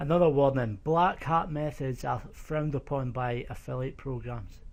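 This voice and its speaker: The speaker talks at a moderate pace with a slight Scottish accent. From eastern Scotland. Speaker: online course instructor. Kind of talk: tutorial. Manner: casual.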